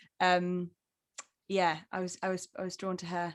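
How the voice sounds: Speaking at a moderate pace, a woman has a fairly low pitch and monotone, flat intonation.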